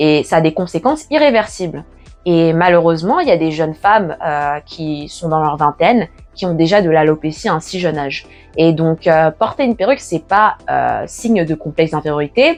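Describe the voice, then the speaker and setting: Music plays behind a woman with a fairly low pitch. She talks at a moderate pace. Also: ordinary pitch variation. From Paris, France. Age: 20s. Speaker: natural hair YouTuber. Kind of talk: casual talk to camera.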